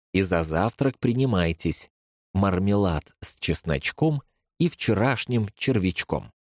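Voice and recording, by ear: Against a quiet backdrop, a natural voice reads aloud with lively intonation.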